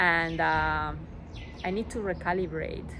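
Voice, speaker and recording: The speaker has a strong non-native accent. Audible room echo and noticeable background noise surround the voice. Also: woman. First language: Spanish. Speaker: vlogger. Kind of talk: personal vlog monologue. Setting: outdoors on a rooftop. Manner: halting, many fillers.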